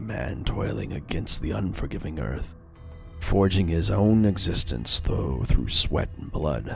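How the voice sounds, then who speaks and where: With clear music in the background, a man puts on a character voice at a very deep, low pitch. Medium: game stream. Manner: gruff, scornful.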